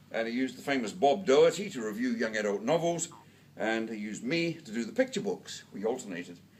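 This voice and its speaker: In a New Zealand accent, a man talks at a very fast pace in a medium pitch with very wide pitch swings, and audible room echo fills the recording. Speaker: book reviewer and lecturer. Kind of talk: award lecture. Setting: stage with audience. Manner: loud.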